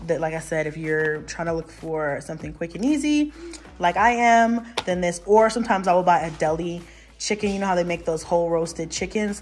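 A woman's normal speaking voice, fairly low in pitch, with ordinary pitch variation, a fairly quick pace and light background noise. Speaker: mom vlogger. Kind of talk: casual vlog chat. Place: kitchen. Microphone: phone near.

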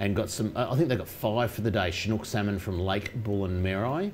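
Fairly low pitch from a man, slightly mellow in tone, at a fairly quick pace with ordinary pitch variation and faint background noise

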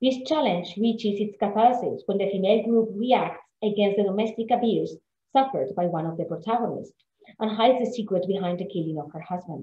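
In audible room echo, a woman with a somewhat breathy voice talks at a fairly quick pace with ordinary pitch variation. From Spain. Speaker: literature scholar; guest lecturer. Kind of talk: lecture. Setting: video call.

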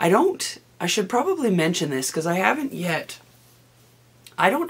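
A woman talks at a fairly slow pace, her raspy voice showing vocal fry and lively intonation.

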